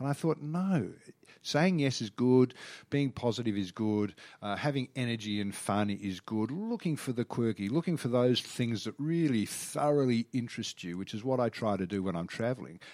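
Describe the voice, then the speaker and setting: Lively intonation and an Australian accent come through on a very clean recording with a silent background. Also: man, medium pitch for a man, moderate pace. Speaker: TV travel reporter and presenter. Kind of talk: casual interview.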